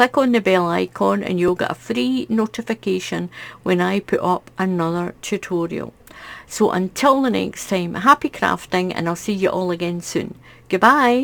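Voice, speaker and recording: At medium pitch and a moderate pace, a woman speaks with lively intonation in a very clean recording with a silent background. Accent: Scottish. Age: 60s. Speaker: crochet YouTuber. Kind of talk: casual unboxing chat.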